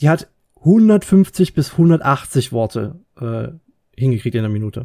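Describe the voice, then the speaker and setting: The voice has a calm tone. It sounds dark and mellow. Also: man. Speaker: podcast co-host. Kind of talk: casual chat.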